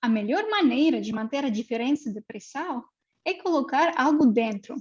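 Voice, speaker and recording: A woman with a Russian accent speaks at a high pitch and a moderate pace. Her intonation is lively. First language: Russian (speaking Portuguese). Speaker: mathematics researcher. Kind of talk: lecture. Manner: halting, many fillers.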